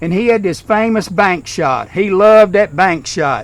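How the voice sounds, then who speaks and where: Someone talks at a moderate pace in a Kentucky accent over noticeable background noise. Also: man. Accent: Southern US (Kentucky). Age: 60s. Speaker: retired school principal, eulogy speaker. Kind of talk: funeral eulogy. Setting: graveside service.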